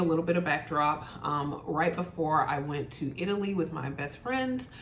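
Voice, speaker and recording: A woman talks at a fairly quick pace with lively intonation and hardly any pauses. Noticeable background noise and audible room echo come through. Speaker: beauty and fashion YouTuber. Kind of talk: casual product review vlog.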